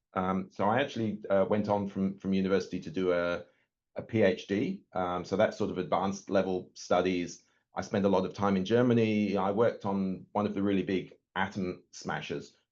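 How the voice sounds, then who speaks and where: A man with an English accent talks at a fairly quick pace in a fairly low pitch, his intonation monotone and flat against a quiet background. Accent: English accent noticeable. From northern England, Yorkshire Dales. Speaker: nuclear physicist. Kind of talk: webinar talk. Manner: hesitant, many fillers and repeats.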